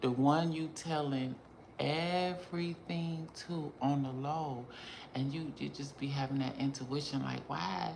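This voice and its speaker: A fairly slow pace and ordinary pitch variation, with audible room echo and noticeable background noise. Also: woman, very deep, low pitch for a woman. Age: 40s. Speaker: beauty influencer and vlogger. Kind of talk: casual vlog monologue. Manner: animated.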